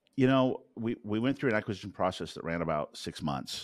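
A man talks at a very fast pace with very wide pitch swings and vocal fry. The recording is very clean, with a silent background. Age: 50s. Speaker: startup founder and CEO. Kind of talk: interview. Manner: hesitant, many fillers.

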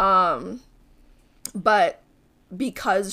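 A woman at a medium pitch is heard in a very clean recording with a silent background. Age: 20s. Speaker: podcast co-host. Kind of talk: casual chat.

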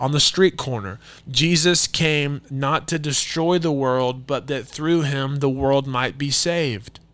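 A man with an American accent and an ordinary speaking voice, fairly high in pitch, fairly slow, with fairly even intonation. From United States. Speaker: Bible teacher podcaster. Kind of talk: Bible study teaching. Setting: solo podcast recording. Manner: casual with many filler words.

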